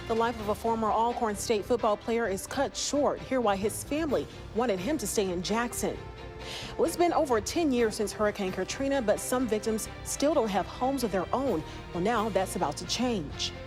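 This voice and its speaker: Over music in the background, a woman speaks at a moderate pace with a fairly high pitch and lively intonation. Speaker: news anchor. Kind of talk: TV news anchoring. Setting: studio.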